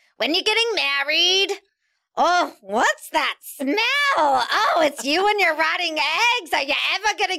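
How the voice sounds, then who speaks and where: A female-sounding voice does a put-on character voice at an extremely high pitch. The pace is fairly slow. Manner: pushy, disagreeable, nagging.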